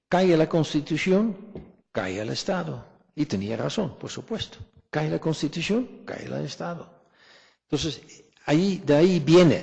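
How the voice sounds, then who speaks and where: A man with a non-native accent speaks at a fairly slow pace with long, frequent pauses. His fairly high pitch makes very wide swings. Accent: foreign accent in Spanish. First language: not Spanish (speaking Spanish). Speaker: historian. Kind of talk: academic colloquium Q&A answer. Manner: halting, repeats words.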